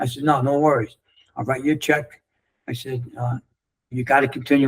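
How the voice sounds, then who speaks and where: A man's somewhat breathy, medium-pitched voice in a New York accent, very fast in pace with fairly even intonation. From New York City. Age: 60s. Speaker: former construction leader and coach. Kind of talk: interview storytelling. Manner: casual, halting with repetitions.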